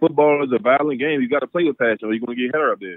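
The speaker is a man. He has an American accent. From Washington DC (Southeast DC). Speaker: professional football player. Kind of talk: casual interview.

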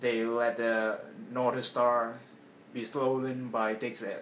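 Over light background noise, a man speaks very slowly with monotone, flat intonation. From Vietnam. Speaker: comedy character. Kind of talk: casual comedic conversation. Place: home room. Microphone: webcam.

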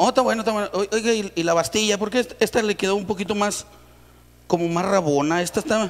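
A man with a high pitch talks at a very fast pace with ordinary pitch variation. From Mexico. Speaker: comedian. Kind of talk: stand-up joke telling. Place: studio. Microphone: handheld.

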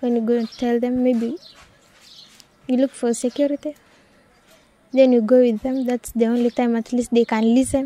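With a Kenyan accent, a woman speaks at a high pitch and a moderate pace in a monotone, flat intonation. The sound is dry and close with no echo, though noticeable background noise comes through. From Wamba, Kenya. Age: young. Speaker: anti-FGM community activist. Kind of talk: interview answer.

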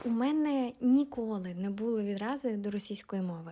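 On a very clean recording with a silent background, a woman with a fairly high pitch and a somewhat breathy voice speaks at a fairly slow pace. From Ukraine, Volyn region. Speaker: video blogger. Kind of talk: personal monologue.

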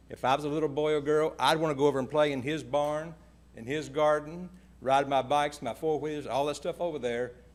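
A man talks with a Kentucky accent. His pace is moderate. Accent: Kentucky Southern US. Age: 70s. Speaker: landowner speaking at public hearing. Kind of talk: public comment. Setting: public hearing meeting room.

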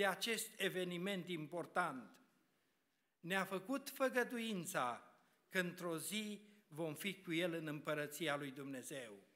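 In a very slow pace and a bright, sharp tone, a man speaks with lively intonation over a quiet background. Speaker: preacher. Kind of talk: sermon. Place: church. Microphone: podium.

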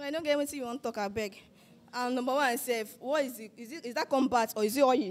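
In an animated tone, a woman with a high pitch speaks at a very fast pace with ordinary pitch variation and big swings in loudness. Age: 20s. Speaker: dating show contestant. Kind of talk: casual chat. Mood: teasing, blunt. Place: hall. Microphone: handheld.

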